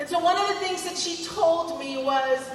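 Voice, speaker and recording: A woman speaks at a moderate pace with ordinary pitch variation, her voice carrying audible room echo amid noticeable background noise. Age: 60s. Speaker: school superintendent. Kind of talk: ceremony speech. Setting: podium at outdoor ceremony with audience.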